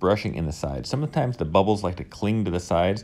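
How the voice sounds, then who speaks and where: A man with a very deep, low pitch and a dark, mellow tone talks at a very fast pace with lively intonation. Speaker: woodworker and video maker. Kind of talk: tutorial voiceover.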